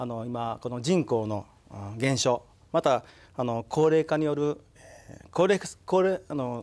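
This man speaks at a fairly slow pace, leaving long, frequent pauses. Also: ordinary pitch variation. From Mie, Japan; Japan. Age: 60s. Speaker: town mayor. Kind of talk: studio interview. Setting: studio. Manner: halting. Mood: earnest, formal polite speech. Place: studio. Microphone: lapel.

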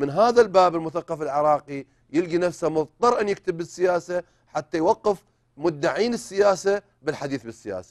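The speaker has an Iraqi accent and ordinary pitch variation. The pace is moderate, and the background is quiet. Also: man, high pitch for a man. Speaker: writer and novelist; talk show guest. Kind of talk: interview. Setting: studio. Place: studio. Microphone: lapel.

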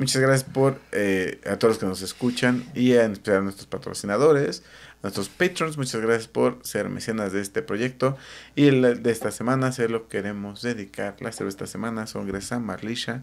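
A man with a Mexican accent, at a moderate pace and with ordinary pitch variation. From Mexico. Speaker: podcast co-host. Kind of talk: show outro thanks; casual chat. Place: home room. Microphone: studio mic.

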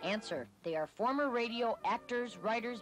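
A woman's voice with music in the background. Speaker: TV news reporter. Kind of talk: TV news voice-over report.

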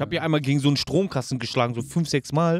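Words come very fast in a dry, close sound with no echo, on a very clean recording with a silent background. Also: man. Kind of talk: casual chat.

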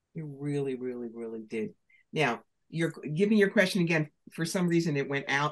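Against a quiet background, a woman with a New York accent and a very deep, low pitch talks at a moderate pace in an animated tone with lively intonation and long, frequent pauses. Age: 60s. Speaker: professional psychic and author; podcast guest. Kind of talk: interview. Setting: video call. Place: home room. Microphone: video call.

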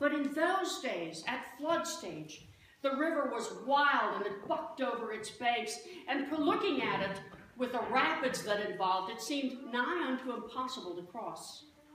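A high-pitched woman at a moderate pace, her pitch swinging very widely, with audible room echo and light background noise. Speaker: pastor. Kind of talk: sermon. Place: church. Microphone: camera far.

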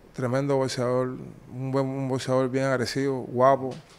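This is a man at a medium pitch. He talks at a fairly slow pace. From Cuba. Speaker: former boxer; interviewee. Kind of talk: interview. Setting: in person. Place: office. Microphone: handheld.

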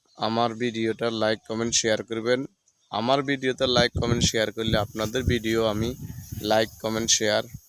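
The delivery is flat and monotone. The sound is dry and close, with no echo. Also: man, medium pitch for a man. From Bangladesh, Feni district. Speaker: village vlogger. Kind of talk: casual vlog narration.

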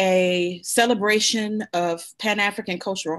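A woman talks, and the background stays quiet. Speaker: talk show guest. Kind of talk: interview answer. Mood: warm, informative. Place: home room. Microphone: video call.

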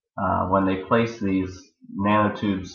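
A man with an American accent, fairly low in pitch, monotone and flat, at a fairly slow pace amid audible room echo. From Maryland, US. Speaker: systems engineer. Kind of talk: student presentation. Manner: hesitant, many fillers.

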